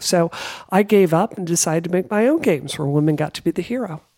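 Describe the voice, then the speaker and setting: A woman speaks with an American accent in a normal speaking voice. Her pitch is fairly low, and her intonation is lively. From US South, Mississippi. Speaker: game developer and congressional candidate. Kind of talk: interview.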